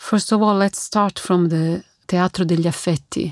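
A woman with an Italian accent speaks at a fairly low pitch with fairly even intonation, her sound dry and close with no echo on a very clean recording with a silent background. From Italy. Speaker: opera singer. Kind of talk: interview.

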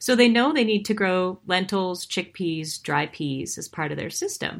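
In an American accent, a plain, everyday voice moves at a moderate pace with ordinary pitch variation on a very clean recording with a silent background. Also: woman. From Montana, US. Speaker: author and former country singer. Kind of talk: interview.

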